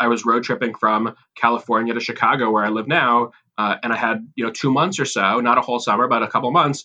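With an American accent, a man speaks in a bright, sharp tone and fairly even intonation. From Massachusetts, US. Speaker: rabbi and camp chaplain. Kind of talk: interview conversation. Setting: remote call from home office. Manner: halting, many fillers and repeats.

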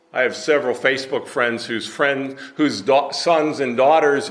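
Noticeable background noise sits under a man talking at a moderate pace with ordinary pitch variation. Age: 70s. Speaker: preacher. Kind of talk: sermon. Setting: church.

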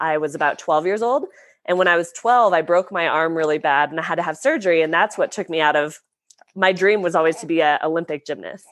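A woman with an American accent speaks in a normal speaking voice, fairly low in pitch with ordinary pitch variation. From US West, Lake Tahoe, California. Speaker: professional snowboarder. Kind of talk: casual interview chat.

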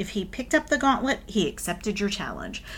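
A somewhat breathy voice in a very clean recording with a silent background. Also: woman. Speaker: podcast host and author. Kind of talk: casual chat.

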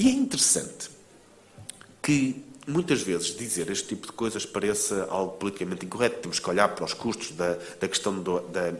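A man speaks at a moderate pace with a European Portuguese accent. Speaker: author and think-tank founder. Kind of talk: book presentation talk. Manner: halting, frequent repetitions and fillers.

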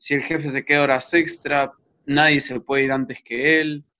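With a bright, sharp tone and a fairly high pitch, a man speaks at a moderate pace. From Mexico, then Costa Rica and Buenos Aires. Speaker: video game designer. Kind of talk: casual interview.

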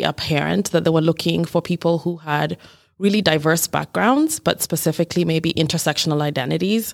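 Fairly low-pitched and with vocal fry, a woman talks at a fairly quick pace with ordinary pitch variation. The recording is very clean, with a silent background and a dry, close sound with no echo. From Kenya. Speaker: city diversity director. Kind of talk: interview.

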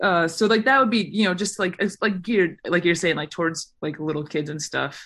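A woman talks in a plain, everyday voice, fairly low in pitch with ordinary pitch variation. She moves at a fairly quick pace with hardly any pauses over a quiet background. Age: 20s. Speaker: long-distance hiker. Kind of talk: casual chat.

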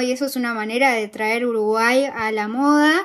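On a very clean recording with a silent background, a woman with a high pitch speaks at a moderate pace with fairly even intonation. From Argentina. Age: 20s. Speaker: fashion podcast host and blogger. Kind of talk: casual interview.

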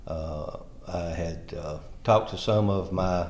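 This voice carries a Tennessee accent and a slightly mellow tone. It moves at a slow pace with ordinary pitch variation. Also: man, low pitch for a man. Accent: rural Tennessee Southern drawl.

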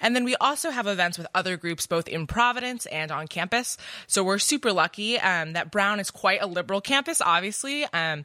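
With lively intonation and a bright, sharp tone, a woman talks fairly quickly at a medium pitch in a dry, close sound with no echo. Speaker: college club president. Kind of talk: roundtable discussion. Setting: studio.

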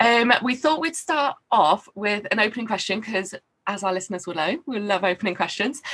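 An ordinary speaking voice moves at a fairly quick pace with lively intonation. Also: woman, fairly high pitch for a woman. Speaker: podcast host and social worker. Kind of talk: casual interview.

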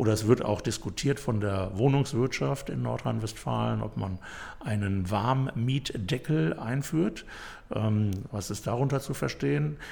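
A man with a fairly low pitch speaks at a fairly slow pace in a dark, mellow tone, somewhat breathy, with very wide pitch swings. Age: 60s. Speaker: city mayor. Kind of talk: interview.

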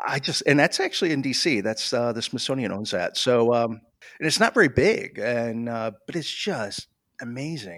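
Lively in intonation, a man with an American accent speaks at medium pitch and a moderate pace on a very clean recording with a silent background. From Michigan, US. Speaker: visual artist. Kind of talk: interview. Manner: halting, many fillers.

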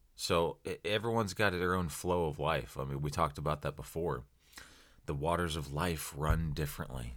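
With an American accent, a man speaks at a moderate pace in a very deep, low voice with vocal fry and ordinary pitch variation, on a very clean recording with a silent background. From US Midwest (small-town Ohio). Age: 30s. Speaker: podcast host. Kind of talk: solo motivational podcast talk. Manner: casual, conversational.

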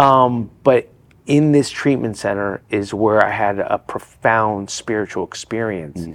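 This man has an unremarkable speaking voice, pitched fairly low, with ordinary pitch variation. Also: fairly slow pace. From New Jersey, then Florida from about age 10. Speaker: addiction recovery speaker. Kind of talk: podcast interview.

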